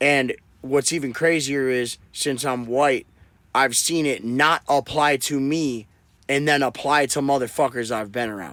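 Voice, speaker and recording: A normal speaking voice from a man with an American accent, fairly high in pitch with fairly even intonation. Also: fairly slow pace, very clean recording, silent background. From Wisconsin. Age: 30s. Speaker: rapper. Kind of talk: casual chat.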